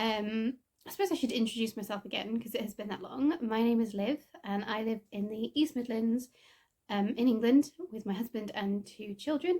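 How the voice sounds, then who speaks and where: A woman's fairly high voice, dark and mellow in tone and somewhat breathy, at a moderate pace with ordinary pitch variation. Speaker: knitting podcaster. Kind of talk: casual chat. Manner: hesitant, many fillers.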